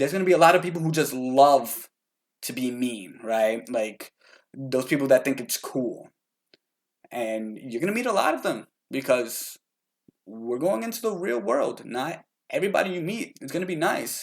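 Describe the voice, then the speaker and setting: With an animated tone, a man speaks at a moderate pace and a fairly high pitch, his pitch swinging very widely. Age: 20s. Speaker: motivational vlogger. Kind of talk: motivational talk.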